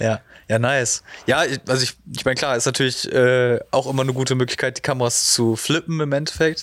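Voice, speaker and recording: This man has an ordinary speaking voice, a medium pitch and fairly even intonation, moving at a fairly quick pace with very even loudness. The recording is very clean, with a silent background. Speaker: podcast host. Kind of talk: casual interview. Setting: studio.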